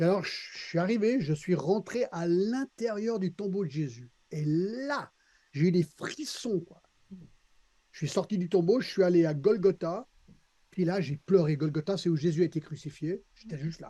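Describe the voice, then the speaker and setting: A man speaks with a high pitch and a dark, mellow tone. His pace is moderate, and his pitch variation is ordinary. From Switzerland, Geneva area (American family). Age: 60s. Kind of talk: podcast interview, personal testimony. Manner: hesitant, with repeated words and fillers.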